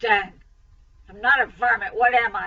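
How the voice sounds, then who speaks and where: A woman puts on a hoarse, raspy character voice at a fairly high pitch. She talks at a moderate pace with ordinary pitch variation. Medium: read story. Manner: gruff drawl.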